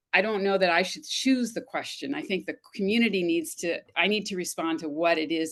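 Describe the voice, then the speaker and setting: Lively in intonation, a woman with an unremarkable speaking voice talks at medium pitch and a moderate pace in an American accent over a quiet background. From US West, Los Angeles. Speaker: retired communication professor. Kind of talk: panel discussion.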